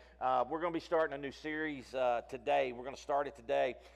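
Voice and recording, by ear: Medium-pitched male voice with vocal fry and ordinary pitch variation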